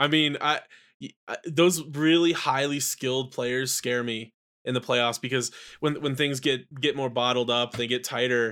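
In a very clean recording with a silent background, a man with a bright, sharp tone speaks at a medium pitch and a fairly slow pace with fairly even intonation. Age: 30s. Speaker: basketball writer and podcaster. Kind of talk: casual chat.

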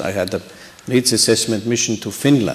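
A man talks in a normal speaking voice at a medium pitch. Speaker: diplomat and election observation official. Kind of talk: panel discussion. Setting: stage with audience.

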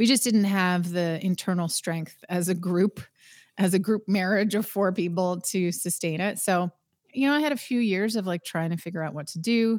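In a Canadian accent, a woman with a plain, everyday voice speaks at a moderate pace and medium pitch with ordinary pitch variation, recorded very cleanly against a silent background. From Eastern Canada. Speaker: sports broadcaster and former rock singer. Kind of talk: casual interview.

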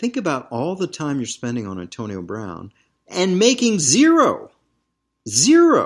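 A man with an American accent speaks at a fairly slow pace, his loudness swinging widely. The recording is very clean, with a silent background. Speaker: sports business podcast host. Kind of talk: angry rant. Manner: impassioned, emphatic.

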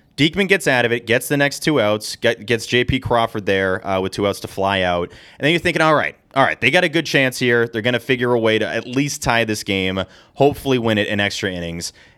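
A bright, sharp tone at a fairly quick pace, on a very clean recording with a silent background. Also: man, medium pitch for a man, lively intonation. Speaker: podcast host. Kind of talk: casual sports podcast banter. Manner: animated, joking.

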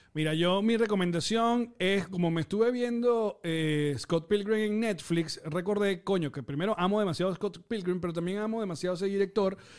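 A man with a Venezuelan accent speaks at a fairly quick pace with hardly any pauses, his high pitch showing ordinary variation. Noticeable background noise is present. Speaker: film and pop culture podcast host. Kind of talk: casual chat.

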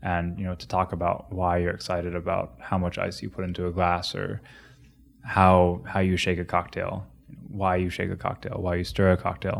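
A man with an American accent speaks at a fairly quick pace in a very deep, low voice, his intonation monotone and flat, on a very clean recording with a silent background. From Ohio, US Midwest. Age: 30s. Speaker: bartender. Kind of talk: interview. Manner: halting.

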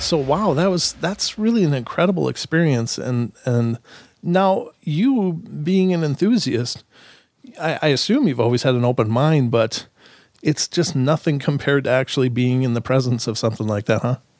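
Lively intonation in an American accent at a moderate pace, with very even loudness and a very clean recording with a silent background. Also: man, fairly high pitch for a man. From southeastern Minnesota. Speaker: podcast host. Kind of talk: casual interview chat. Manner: halting, many fillers and repeated words.

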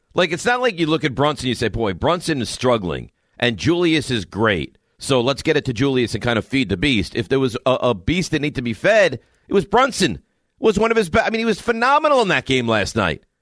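Speaking at a very fast pace, a man with a medium pitch and vocal fry makes very wide pitch swings. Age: 40s. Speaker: sports radio host. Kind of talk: sports talk radio.

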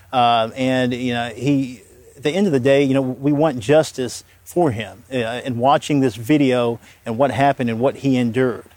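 Speaking with a plain, everyday voice, a man uses a medium pitch, fairly even intonation, and a moderate pace. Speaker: defense attorney. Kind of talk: TV news interview.

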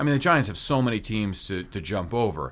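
Vocal fry marks a man's medium-pitched voice as he talks at a moderate pace with lively intonation. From Hawaii. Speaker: sports podcast host. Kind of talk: casual sports chat and interview.

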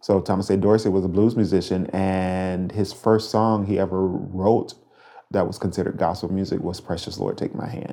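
A man with a Southern US accent speaks in a very deep, low voice. His tone is dark and mellow, and his intonation stays flat and monotone. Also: moderate pace. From Mississippi. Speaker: gospel music director. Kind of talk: interview.

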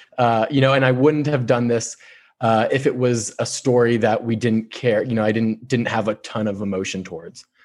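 A man with a Californian accent, medium pitch, fairly even intonation and moderate pace against a quiet background. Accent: Californian American. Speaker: sports journalist. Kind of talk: interview. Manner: halting, repeats words.

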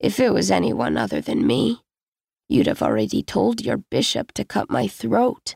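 A man puts on a raspy, croaky character voice at a moderate pace. The sound is dry and close, with no echo.

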